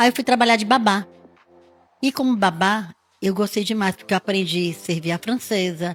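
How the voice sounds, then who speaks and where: Recorded dry and close with no echo, a woman of medium pitch speaks at a moderate pace with ordinary pitch variation and long, frequent pauses. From Rio de Janeiro, Brazil. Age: 60s. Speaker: hairdresser. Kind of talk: interview.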